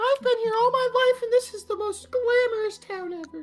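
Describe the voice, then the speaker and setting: A man does a put-on character voice at an extremely high pitch and a fairly quick pace, with faint music in the background. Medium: actual play. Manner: gushing, exclamatory.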